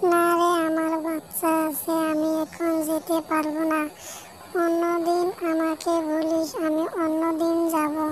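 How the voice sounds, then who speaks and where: An extremely high-pitched, cartoonish character voice speaks at a fairly slow pace in a flat monotone. Clear background noise sits behind it. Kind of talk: folk tale cartoon voicing.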